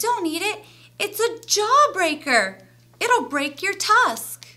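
Using a put-on character voice, a woman projects a squeaky, extremely high-pitched, raised voice at a very slow pace. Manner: warning, urgent.

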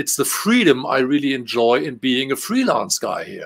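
Speaking at a moderate pace, the man has a German accent. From Germany. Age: 50s. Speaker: game translator; guest. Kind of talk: casual interview. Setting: video call. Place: home room.

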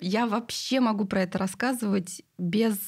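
In a quiet background, a woman with a somewhat breathy voice speaks with ordinary pitch variation. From Siberia, Russia. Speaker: clinic CEO; guest. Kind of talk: casual chat. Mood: calm, reflective. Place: studio. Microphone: studio mic.

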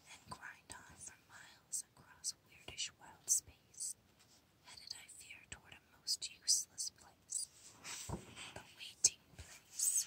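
Whispering unfolds at a very slow pace. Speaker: ASMR creator. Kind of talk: whispered book reading for ASMR. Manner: whispered, soft.

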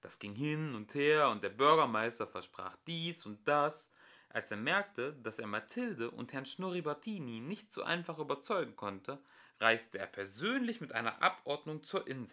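At a moderate pace, a man with a medium pitch and a bright, sharp tone speaks with big pitch swings.

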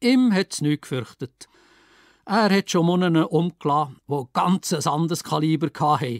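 Dry and close with no echo, the very clean recording catches a man with a Lucerne accent speaking fairly slowly against a silent background. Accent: Entlebuch Swiss German dialect. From Schwyz, Switzerland. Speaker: author and retired secondary teacher. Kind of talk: dialect story reading.

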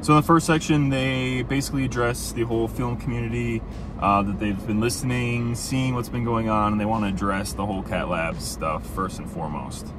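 Over noticeable background noise, a man with a fairly low pitch talks at a fairly quick pace with hardly any pauses and ordinary pitch variation, and the sound is dry with no echo. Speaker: film photography creator. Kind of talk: casual vlog commentary. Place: car. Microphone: phone near.

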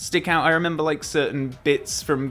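Speech at a moderate pace over faint music in the background. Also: man. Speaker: film reviewer. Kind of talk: casual vlog chat. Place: home room. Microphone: studio mic.

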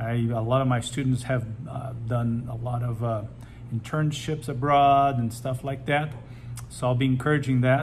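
A somewhat breathy man's voice, monotone and flat, at a fairly slow pace over light background noise. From Brazil. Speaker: high school teacher and advisor. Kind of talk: welcome message to students. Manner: casual with many fillers. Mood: warm, encouraging. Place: office. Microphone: phone near.

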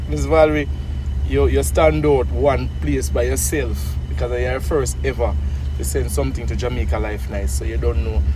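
Against noticeable background noise in a dry sound with no echo, a man speaks at a moderate pace with a very deep, low pitch and monotone, flat intonation. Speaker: charity vlogger. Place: car. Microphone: phone near.

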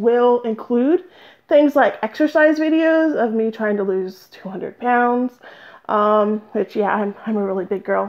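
Loud and at a high pitch, a woman talks at a fairly slow pace with very wide pitch swings. The background is quiet. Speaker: crafting vlogger. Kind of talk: casual vlog. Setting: home studio, phone recording. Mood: self-deprecating, chatty. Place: home room. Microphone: phone-call headset mic; headset.

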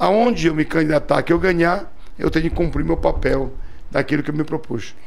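Here a man speaks at a fairly high pitch. His pace is moderate and his pitch variation ordinary. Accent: Pará. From Castanhal, Pará, Brazil. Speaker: politician, federal deputy. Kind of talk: interview answer. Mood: earnest, firm. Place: studio. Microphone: studio mic.

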